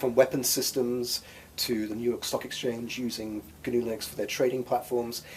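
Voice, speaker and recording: A man speaks at a medium pitch with an English accent. His intonation is monotone and flat. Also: moderate pace. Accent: non-Bostonian (English). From England, Oxford. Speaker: free software nonprofit executive director. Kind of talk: interview.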